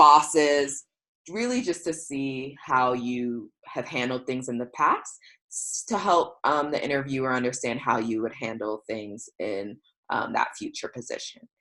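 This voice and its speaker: A woman with an American accent speaks in a very deep, low pitch with ordinary pitch variation, on a very clean recording with a silent background. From United States. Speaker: career coach. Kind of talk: presentation. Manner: fast; hesitant, many fillers.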